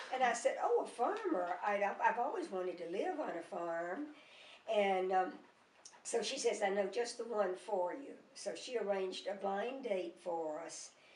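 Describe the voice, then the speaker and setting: In a Mississippi accent, a woman speaks at a moderate pace with lively intonation and medium pitch, and the room echo is audible. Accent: Southern US (Mississippi). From US South, Mississippi. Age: 80s+. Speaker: grandmother. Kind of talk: oral history interview. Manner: halting, many fillers.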